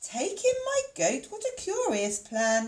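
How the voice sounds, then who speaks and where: Putting on a squeaky character voice, a woman speaks fairly slowly at an extremely high pitch, her pitch swinging very widely. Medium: read story.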